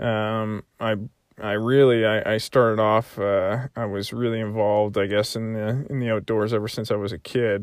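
A man of medium pitch with a Canadian Maritime accent, at a fairly slow pace. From Prince Edward Island, Canada. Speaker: podcast host, soldier and hunter. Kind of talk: solo monologue podcast. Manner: halting, many fillers.

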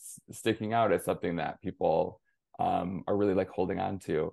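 A man with an American accent speaks at a very fast pace in a fairly low pitch. The background is quiet. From Michigan, near Flint. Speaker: young adult author. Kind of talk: interview.

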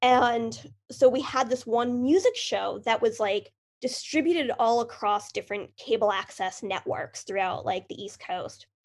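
With a normal speaking voice, a woman talks at a fairly high pitch and a fairly slow pace, with ordinary pitch variation and hardly any pauses. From central Massachusetts. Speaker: film producer. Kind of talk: interview.

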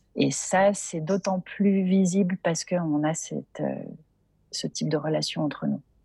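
Recorded with a dry, close sound and no echo, a woman speaks at a fairly slow pace. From Geneva, Paris and southern France. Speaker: entrepreneur. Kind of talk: interview. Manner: hesitant, many repetitions.

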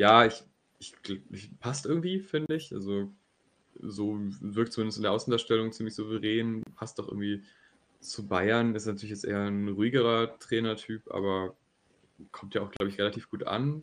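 A man speaks at a fairly low pitch. He leaves long, frequent pauses. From Germany, near Düsseldorf. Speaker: football podcast co-host. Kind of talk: casual chat.

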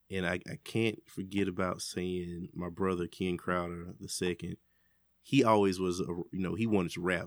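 Speech comes in an American accent at a moderate pace. The recording is very clean, with a silent background. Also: man. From Birmingham, Alabama. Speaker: music producer. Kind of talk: casual interview. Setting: studio.

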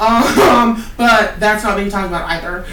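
A woman speaks with an American accent and lively intonation. Noticeable background noise can be heard. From US Pacific Northwest, Oregon. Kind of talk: casual chat.

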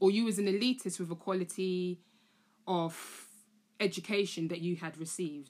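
A woman speaks at a moderate pace with a London accent and a medium pitch. The recording is very clean, with a silent background. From London (Tottenham). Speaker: art educator, podcast host. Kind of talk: solo monologue, casual explainer. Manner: casual, chatty.

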